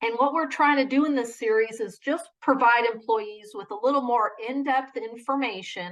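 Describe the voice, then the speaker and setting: A woman with an American accent speaks in a high voice with ordinary pitch variation and hardly any pauses. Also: moderate pace. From Chicago (Southwest side). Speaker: benefits manager. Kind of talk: work presentation (online lunch and learn). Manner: casual, conversational.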